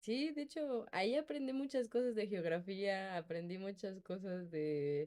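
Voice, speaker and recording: A woman with a medium-pitched, dark, mellow tone speaks at a fairly slow pace. Her pitch swings very widely. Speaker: podcast co-host. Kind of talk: casual chat.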